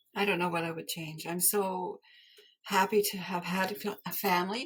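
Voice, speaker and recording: The speaker, somewhat breathy, talks at a moderate pace with a Canadian accent. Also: woman. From rural Canada. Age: 70s. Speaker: textile artist. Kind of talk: interview conversation. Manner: halting.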